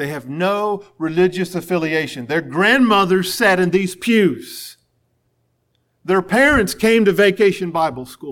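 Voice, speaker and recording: Over a silent background in a very clean recording, a man with an American accent speaks at a fairly slow pace in a high pitch with lively intonation. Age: 40s. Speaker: pastor. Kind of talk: sermon.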